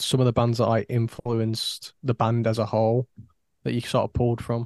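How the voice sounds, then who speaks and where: A man speaks at a fairly quick pace with a Yorkshire accent and a medium pitch. The sound is dry and close, with no echo. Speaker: podcast co-host. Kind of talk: casual chat.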